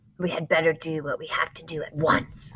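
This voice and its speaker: A raspy, put-on character voice sits at a middle pitch. It moves at a fairly quick pace. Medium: read story.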